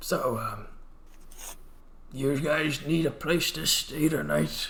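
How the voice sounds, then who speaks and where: A man uses a raspy, put-on character voice pitched fairly high. He talks at a very slow pace. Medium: actual play.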